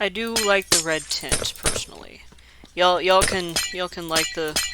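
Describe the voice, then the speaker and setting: A man's high-pitched voice with ordinary pitch variation over noticeable background noise. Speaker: Minecraft builder. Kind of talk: casual gameplay commentary.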